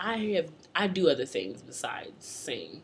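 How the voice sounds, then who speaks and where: Lively intonation from a woman, with noticeable background noise underneath. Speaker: singer and spoken word poet. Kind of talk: casual talk to camera.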